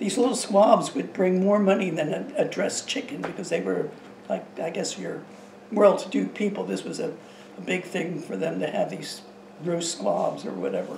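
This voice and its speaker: A woman speaks at a moderate pace, with audible room echo and light background noise. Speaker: interviewee. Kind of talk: interview answer. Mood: nostalgic, calm. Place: kitchen.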